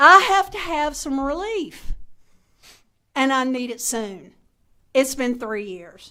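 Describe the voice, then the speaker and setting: A woman's raised, projected voice at a high pitch, with a bright, sharp tone, has very wide pitch swings and big swings in loudness, at a very slow pace with long, frequent pauses. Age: 60s. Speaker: witness testifying at legislative hearing. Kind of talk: public testimony. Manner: impassioned, halting with repetitions.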